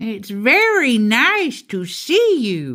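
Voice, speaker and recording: A put-on character voice, female-sounding, at a fairly high pitch. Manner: jolly.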